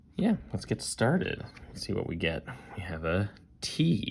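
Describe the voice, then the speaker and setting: Whispering, a man speaks at a very slow pace. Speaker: board game designer. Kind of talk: let's play commentary. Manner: casual, thinking aloud.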